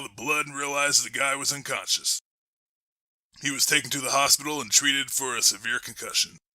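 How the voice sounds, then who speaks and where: A man's raspy, put-on character voice, fairly high in pitch and at a fairly quick pace. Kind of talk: true-crime memoir reading. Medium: short film. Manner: deadpan, detached.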